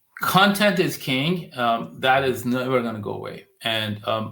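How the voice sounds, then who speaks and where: Medium pitch from a man. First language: not English. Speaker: digital marketing agency founder. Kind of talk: podcast interview.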